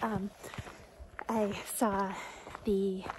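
A woman's voice in a dry sound with no echo, amid noticeable background noise. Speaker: hiker vlogger. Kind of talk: casual vlog chat. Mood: relaxed and cheerful. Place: forest. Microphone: phone near.

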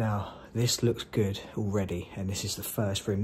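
A man talks at a moderate pace in a fairly low, somewhat breathy voice. Light background noise sits under him. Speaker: urban explorer vlogger. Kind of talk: casual vlog commentary. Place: garage. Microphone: phone near.

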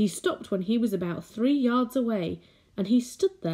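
A natural voice reading aloud.

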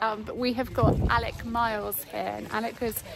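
Noticeable background noise sits behind a woman speaking at a moderate pace. The sound is dry, with no echo. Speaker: vlogger. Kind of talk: casual vlog chat. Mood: excited, upbeat. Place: farm. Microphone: phone near.

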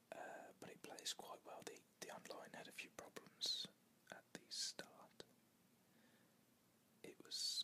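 A woman whispering at a fairly slow pace. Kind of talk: casual talk to camera. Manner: casual, chatty.

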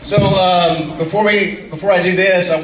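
A man talks fairly slowly while light background noise and audible room echo fill the recording. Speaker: community group leader. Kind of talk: casual announcements and informal talk to a small group. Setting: in a room with a small group in person, playing video. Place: hall. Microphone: pa.

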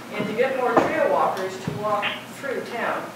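Loud background noise surrounds a woman speaking at a moderate pace. The room echo is audible. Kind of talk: presentation to board. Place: meeting room. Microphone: camera far.

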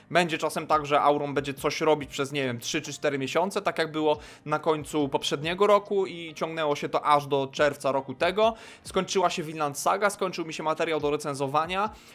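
With a very clean recording and silent background, a man with a fairly high pitch and an unremarkable speaking voice talks at a fairly quick pace with ordinary pitch variation. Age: 20s. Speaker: youtuber. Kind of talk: casual monologue to camera.

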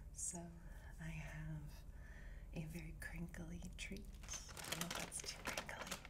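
A woman with an American accent at a very slow pace, long and frequent pauses, over loud background noise. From Upper Midwest, USA. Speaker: ASMR artist. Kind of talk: ASMR soft-spoken ramble to camera. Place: home room. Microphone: phone near.

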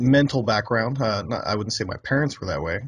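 A man's somewhat breathy voice with ordinary pitch variation, dry sound with no echo, and a quiet background. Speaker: interview guest. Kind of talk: interview answer. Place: home room. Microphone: studio mic.

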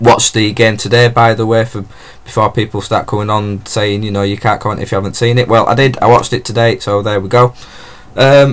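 Flat and monotone in intonation, a man speaks fairly quickly. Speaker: football fan vlogger. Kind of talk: casual vlog chat. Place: home room. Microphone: webcam.

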